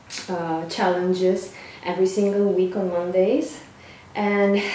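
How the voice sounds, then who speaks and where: A woman at a fairly slow pace, monotone and flat, with audible room echo and light background noise. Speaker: fitness coach. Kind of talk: casual vlog chat. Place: home room. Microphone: camera far.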